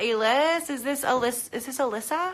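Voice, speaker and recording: A woman raises and projects her high voice with lively intonation. Noticeable background noise sits behind her. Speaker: Pilates instructor. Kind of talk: live stream Q&A; guided exercise class. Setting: home live stream.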